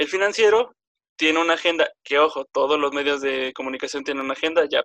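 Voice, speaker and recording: A man speaks at a fairly quick pace in a fairly high, bright, sharp voice with ordinary pitch variation. The sound is dry and close, with no echo. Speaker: podcast host. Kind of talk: casual debate chat. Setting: group call.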